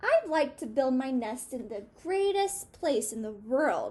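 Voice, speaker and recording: High-pitched, fairly slow put-on character voice from a woman. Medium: read story.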